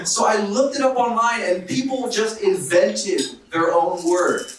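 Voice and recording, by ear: A high-pitched man with an American accent talks with ordinary pitch variation in strong room echo. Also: fairly slow pace.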